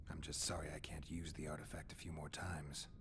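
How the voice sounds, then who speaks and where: Someone whispers very fast in a put-on character voice. Loud noise fills the background. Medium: video game. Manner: terse, dry, low-key.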